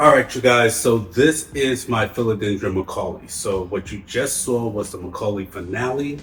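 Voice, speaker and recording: In a New York accent, the speaker moves at a moderate pace with ordinary pitch variation. Noticeable background noise is present. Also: man. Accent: heavy New York. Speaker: plant care youtuber. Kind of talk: tutorial. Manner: casual, conversational.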